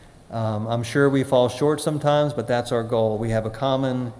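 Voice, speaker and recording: A man's medium-pitched, fairly even delivery with hardly any pauses, over noticeable background noise. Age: 60s. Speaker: recovery workshop speaker. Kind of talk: workshop talk. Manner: halting.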